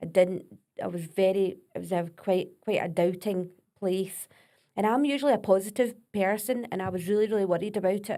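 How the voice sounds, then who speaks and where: A woman's dark, mellow voice with a Scottish accent, medium pitch, ordinary pitch variation and a fairly quick pace. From Scotland. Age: 40s. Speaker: vocal coach. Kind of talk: podcast interview.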